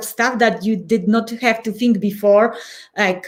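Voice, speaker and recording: A woman with a Polish accent speaks at a fairly slow pace and a fairly high pitch. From Poland. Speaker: change and transition coach. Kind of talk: podcast interview. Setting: live video podcast.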